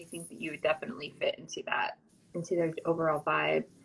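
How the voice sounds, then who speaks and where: A woman speaks over noticeable background noise. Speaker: podcast host. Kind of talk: podcast interview questions. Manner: casual, chatty.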